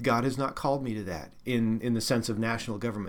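A man talks at a fairly quick pace in a plain, everyday voice of medium pitch. His intonation is fairly even, and the recording is very clean with a silent background. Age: 40s. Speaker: lay minister. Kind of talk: interview.

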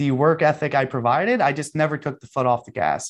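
In a quiet background, a man with a normal speaking voice and fairly high pitch for a man keeps a fairly even intonation. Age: 30s. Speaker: professional trader. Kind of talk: interview.

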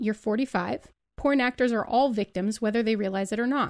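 A woman's ordinary speaking voice at a fairly high pitch, with ordinary pitch variation, a moderate pace and a quiet background. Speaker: podcast host. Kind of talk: actual play role-playing game.

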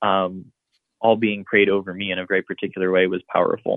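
A man with a Midwestern American accent speaks at a fairly quick pace. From Columbus, Ohio. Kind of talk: interview.

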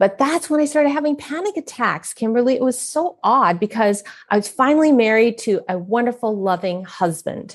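A woman with an American accent speaks high in pitch, with lively intonation. She keeps a moderate pace and hardly any pauses. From US West Coast (San Francisco). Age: middle-aged. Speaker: author and speaker. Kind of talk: casual interview.

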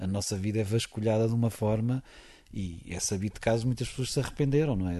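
A man speaks at a fairly low pitch with ordinary pitch variation. His tone is dark and mellow, and his pace is fairly quick. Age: 40s. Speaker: football commentator. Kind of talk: interview.

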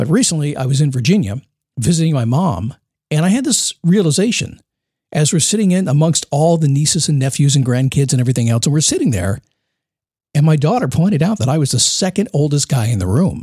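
A man's fairly high-pitched, somewhat breathy voice with a dark, mellow tone, very fast pace, lively intonation and very even loudness. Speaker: motivational podcast host. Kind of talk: solo podcast monologue. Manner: casual, conversational.

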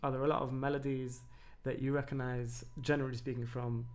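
A man speaks at a medium pitch in a monotone, flat delivery. The room echo is audible. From Denmark, Copenhagen. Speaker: podcast producer. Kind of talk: casual chat.

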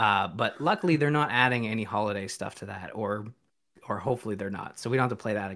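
A man with a bright, sharp tone talks very fast at a medium pitch, using ordinary pitch variation. The recording is very clean, with a silent background. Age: young or middle-aged (parent of a nearly five-year-old). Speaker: podcast guest, streamer. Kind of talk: casual chat.

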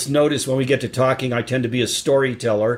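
An unremarkable speaking voice with an American accent, fairly quick in pace and fairly even in intonation. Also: man. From US Colorado. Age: 60s.

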